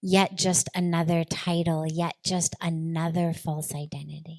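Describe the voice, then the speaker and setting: An ordinary speaking voice with an American accent comes through in a dry, close sound with no echo. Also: woman. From Los Angeles, USA. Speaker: spiritual leader. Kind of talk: spiritual discourse.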